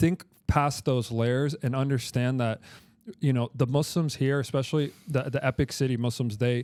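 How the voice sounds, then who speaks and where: An ordinary speaking voice from a man with an American accent, medium in pitch, with fairly even intonation and a dry, close sound with no echo on a very clean recording with a silent background. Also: moderate pace. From Texas. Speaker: podcast host. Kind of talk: casual chat.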